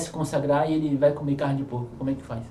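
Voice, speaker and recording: Against noticeable background noise, a man talks at a fairly high pitch with fairly even intonation. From Brazilian Northeast. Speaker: podcast host. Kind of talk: podcast interview.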